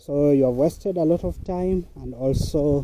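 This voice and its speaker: A man with a Kenyan accent at a fairly high pitch, fairly slow and lively in intonation, over noticeable background noise. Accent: Kenyan (Luo) English. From Kenya, Luo-speaking region (Kisumu County). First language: Luo. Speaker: vlogger, online worker. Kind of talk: casual vlog narration while walking. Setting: outdoors, walking to a muddy farm.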